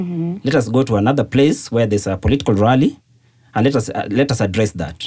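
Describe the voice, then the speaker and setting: Lively intonation marks this man's delivery at a very fast pace. His voice is somewhat breathy. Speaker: journalist. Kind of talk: casual chat.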